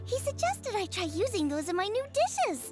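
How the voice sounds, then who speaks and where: An extremely high-pitched cartoonish character voice at a moderate pace, with clear music in the background. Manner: eager, bright.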